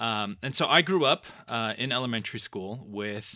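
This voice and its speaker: A man with a Californian accent speaks at a moderate pace and medium pitch. His tone is bright and sharp, on a very clean recording with a silent background. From Los Angeles, Southern California. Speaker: pastor. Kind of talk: casual chat.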